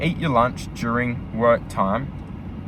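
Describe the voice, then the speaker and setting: A man with a medium-pitched voice is heard amid noticeable background noise and audible room echo. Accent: Australian. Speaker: vlogger, truck driver. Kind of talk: casual vlog monologue. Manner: fast; filler-heavy.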